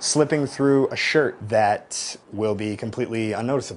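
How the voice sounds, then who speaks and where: Fairly quick speech with ordinary pitch variation amid noticeable background noise. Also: man. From US, small town. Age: 20s. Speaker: vlogger with dwarfism. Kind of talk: personal video monologue.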